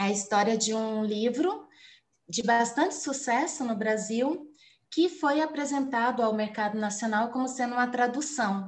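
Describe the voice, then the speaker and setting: A woman talks at a fairly slow pace in a high voice with ordinary pitch variation. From São Paulo, Brazil. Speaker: journalist and doctoral student giving a guest lecture. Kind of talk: online lecture.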